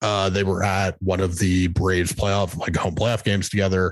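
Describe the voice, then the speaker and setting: A man with an unremarkable speaking voice and a fairly low pitch talks at a moderate pace against a quiet background. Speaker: election analyst and newsletter writer. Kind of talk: casual political interview.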